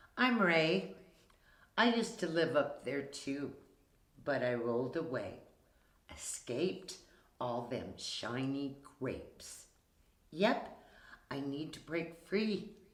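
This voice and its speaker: Putting on a raspy character voice, a man speaks fairly slowly at a fairly high pitch with very wide pitch swings and long, frequent pauses, and audible echo. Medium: read story. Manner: coughing.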